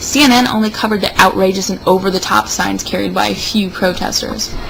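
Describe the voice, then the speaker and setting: Noticeable background noise is present. A woman speaks over it. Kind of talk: comedic dramatic reading of an opinion piece.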